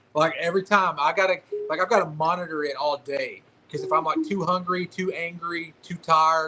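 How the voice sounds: Over noticeable background noise, the speech moves at a fairly quick pace in a Southern US accent. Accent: hillbilly, Southern.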